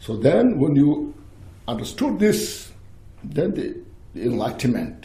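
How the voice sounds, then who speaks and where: With audible room echo around him, a man speaks at a fairly slow pace. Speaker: Buddhist teacher. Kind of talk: dharma teaching with Q&A. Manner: halting.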